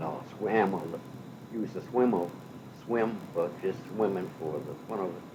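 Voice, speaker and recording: A man's fairly low voice at a fairly slow pace, with ordinary pitch variation and long, frequent pauses. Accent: American. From western Massachusetts. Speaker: retired state road maintenance foreman; war veteran. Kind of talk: oral history interview answer.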